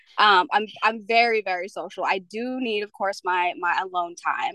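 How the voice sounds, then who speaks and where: At a fairly slow pace, a woman speaks in a bright, sharp tone at medium pitch with ordinary pitch variation, the sound dry and close with no echo. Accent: Mid-Atlantic. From Pennsylvania. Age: 20s. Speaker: fashion model. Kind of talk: interview. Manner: hesitant, many fillers.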